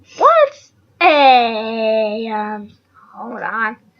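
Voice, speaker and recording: Using a cartoonish character voice, a female-sounding speaker takes on a playful tone at a fairly high pitch. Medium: puppet. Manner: silly, playful.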